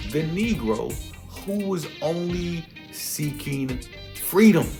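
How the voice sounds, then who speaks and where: Music plays behind the voice. A man talks at a very slow pace. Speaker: spoken word poet. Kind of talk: casual talk to camera.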